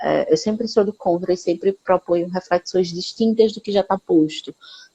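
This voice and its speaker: A woman at medium pitch with hardly any pauses, in a dry, close sound with no echo. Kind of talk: live stream conversation. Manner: fast.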